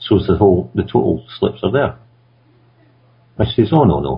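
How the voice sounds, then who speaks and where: In a Scottish accent, a man with a fairly low pitch makes very wide pitch swings at a moderate pace. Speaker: conference radio co-host. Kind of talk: casual discussion.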